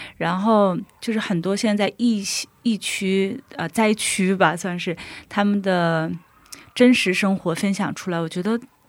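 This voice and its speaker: A woman with a normal speaking voice talks at a fairly slow pace in a medium pitch, her intonation fairly even, on a very clean recording with a silent background. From Dalian, northeast China. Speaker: florist sharing faith story. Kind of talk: testimony.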